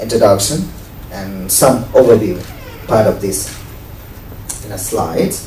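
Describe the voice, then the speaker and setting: Speaking at a fairly slow pace, a man has a Nepali accent. Audible room echo and noticeable background noise accompany him. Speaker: event moderator, teacher and community radio host. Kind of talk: event introduction. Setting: book talk with live audience. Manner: halting, many fillers.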